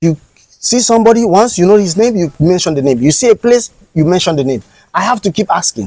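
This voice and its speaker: Very fast speech with lively intonation and a dark, mellow tone has a dry, close sound with no echo. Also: man, high pitch for a man. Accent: Nigerian. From Nigeria. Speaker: content creator. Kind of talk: interview.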